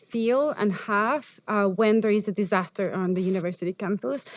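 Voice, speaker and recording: Here is a woman with an unremarkable speaking voice. She talks at a fairly high pitch and a moderate pace. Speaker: architecture professor and researcher. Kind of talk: lecture.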